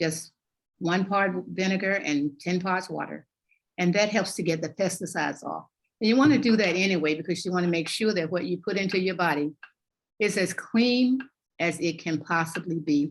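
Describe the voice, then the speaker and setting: A woman with a Southern US accent talks at a moderate pace, her fairly low voice showing ordinary pitch variation. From US South, North Carolina. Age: 70s. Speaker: health and wellness coach. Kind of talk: interview chat.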